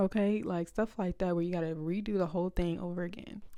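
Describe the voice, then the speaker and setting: On a very clean recording with a silent background, a woman speaks at a moderate pace in a dark, mellow tone. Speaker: content creator vlogger. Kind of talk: casual vlog talk to camera. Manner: loud; animated.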